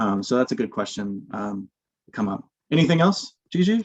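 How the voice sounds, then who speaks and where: Heard in a dry, close sound with no echo, a man speaks with very wide pitch swings. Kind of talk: webinar presentation. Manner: fast.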